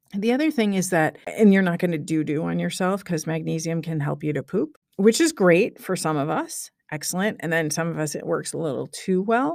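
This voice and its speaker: A woman with a Chicago accent and a fairly low pitch talks in an animated tone at a fairly quick pace, with ordinary pitch variation, hardly any pauses, and a very clean recording with a silent background. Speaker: podcast host. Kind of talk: casual monologue.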